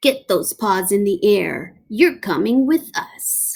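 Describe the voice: In a put-on character voice, the speaker moves at a slow pace with lively intonation, vocal fry and a slightly mellow tone. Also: woman, medium pitch for a woman.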